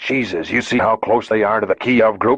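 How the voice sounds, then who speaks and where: A man uses a put-on character voice at a medium pitch. His loudness stays very even. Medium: read story.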